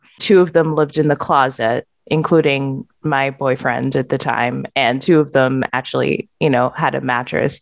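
A woman's very deep, low voice with vocal fry, at a moderate pace with hardly any pauses, in a dry, close sound with no echo. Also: ordinary pitch variation. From England. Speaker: product manager. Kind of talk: interview.

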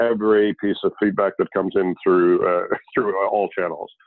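A man speaks with a Canadian accent. His pace is moderate. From Canada. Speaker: restaurant company founder and CEO. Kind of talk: interview. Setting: remote call. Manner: halting, many fillers.

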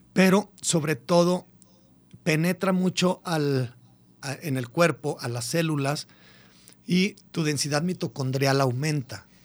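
Speaking very slowly with long, frequent pauses, a man with a fairly high pitch shows ordinary pitch variation. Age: 40s. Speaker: biohacking podcaster and fitness coach. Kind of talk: casual radio interview. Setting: radio studio.

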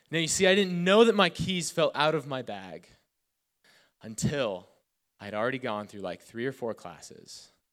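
Recorded very cleanly against a silent background, a man speaks at a moderate pace with big swings in loudness, very wide pitch swings and long, frequent pauses. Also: fairly high pitch for a man. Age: 20s. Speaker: youth pastor. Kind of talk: sermon. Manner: casual.

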